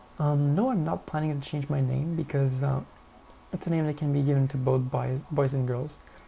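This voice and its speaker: This speaker has a French accent. The pace is fairly quick. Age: 20s. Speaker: vlogger. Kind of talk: casual Q&A monologue.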